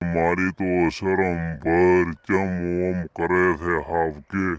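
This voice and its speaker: A man does a cartoonish character voice, very deep and low, delivered in a flat monotone. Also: fairly slow pace. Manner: worried, placating.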